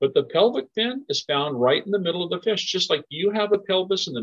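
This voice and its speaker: Against a quiet background, the speaker talks at a fairly quick pace with an American accent. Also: man. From US, southern Oregon. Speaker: environmental educator. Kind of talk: educational webinar for children. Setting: recorded webinar in a shared room. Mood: friendly, encouraging. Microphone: webcam.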